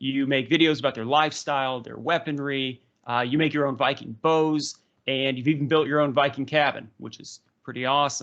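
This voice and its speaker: Against a quiet background, a man with a fairly high pitch speaks at a fairly quick pace with fairly even intonation. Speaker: history podcast host. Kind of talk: interview. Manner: fast.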